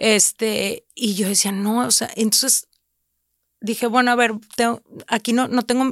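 The speech comes at a fairly slow pace in a very clean recording with a silent background and a dry, close sound with no echo. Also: woman. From Mexico, Reynosa (Tamaulipas border). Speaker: food content creator and cookbook publisher. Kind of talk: casual chat.

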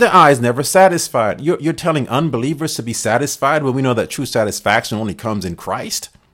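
Barely pausing, a man rushes along at a very fast pace, medium in pitch and lively in intonation. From Caribbean. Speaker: pastor. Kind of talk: sermon-style podcast monologue. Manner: halting, many fillers.

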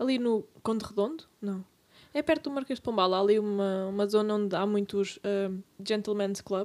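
A woman's normal speaking voice at a moderate pace, with ordinary pitch variation. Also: medium pitch for a woman. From Portugal, Serra region. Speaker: podcast co-host. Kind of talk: casual chat.

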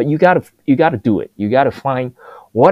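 A man speaks in an animated, passionate tone. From Taiwan. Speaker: food tech entrepreneur. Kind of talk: interview.

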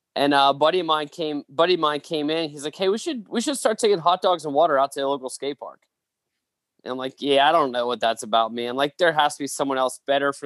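A fairly high-pitched man at a very fast pace with ordinary pitch variation, in a dry, close sound with no echo. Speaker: pastor and author. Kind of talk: casual interview, storytelling.

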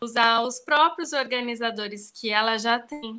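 A woman's fairly high, bright, sharp voice on a very clean recording with a silent background. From Brazil, São Paulo. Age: 30s. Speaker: professional organizer. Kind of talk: casual interview.

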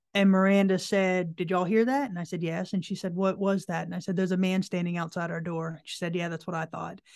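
A woman talks at a very fast pace with hardly any pauses. Her pitch sits in the medium range and her intonation stays fairly even. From Florida, near Orlando. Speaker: paranormal investigator. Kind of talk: interview. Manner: halting.

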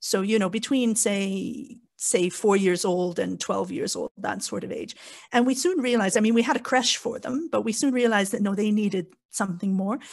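Moderate pace, somewhat breathy delivery and ordinary pitch variation against a quiet background. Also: woman, fairly high pitch for a woman. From Canada. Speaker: podcast guest, convert parent. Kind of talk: casual discussion.

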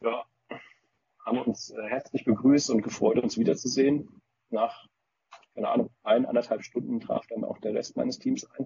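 A man speaks at a moderate pace. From Frankfurt region, Germany. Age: 30s. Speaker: paintball team founder. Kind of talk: casual chat.

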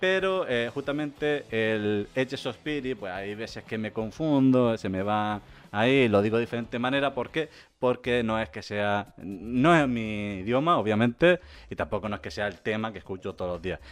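With lively intonation, a man of medium pitch speaks at a moderate pace. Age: 30s. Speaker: podcast host. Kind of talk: casual chat. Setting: live stream.

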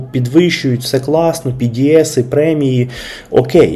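A man speaks at a fairly slow pace. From Kyiv, Ukraine. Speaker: podcast host. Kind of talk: casual monologue.

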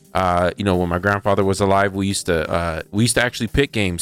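A man speaks very fast in a very deep, low voice with fairly even intonation. The sound is dry and close with no echo, and music plays in the background. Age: 30s. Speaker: sports radio co-host. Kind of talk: casual sports talk show. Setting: studio. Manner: halting, many fillers.

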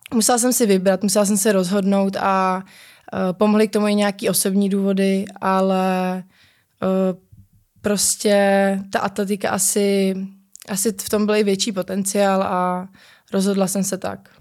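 At a moderate pace, a woman with a medium pitch talks in a monotone with flat intonation, in a very clean recording with a silent background. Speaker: pole vaulter. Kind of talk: interview.

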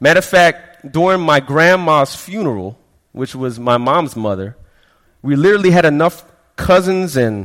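A plain, everyday voice, this man speaks with an American accent at a fairly high pitch and with lively intonation. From Florida, raised from childhood; early years in Brooklyn, West Indian parents. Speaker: pastor. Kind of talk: sermon.

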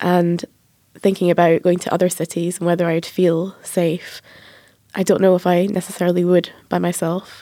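With an Edinburgh accent, the speaker keeps a moderate pace and a monotone, flat intonation. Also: woman. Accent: Edinburgh Scottish. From Edinburgh, Scotland. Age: 30s. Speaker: journalist and author. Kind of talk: roundtable discussion.

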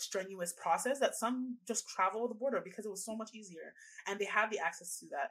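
With a Canadian accent, a woman speaks in an unremarkable speaking voice at a medium pitch, with ordinary pitch variation. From Canada. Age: 20s. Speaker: reproductive rights activist. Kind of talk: podcast interview. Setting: video call.

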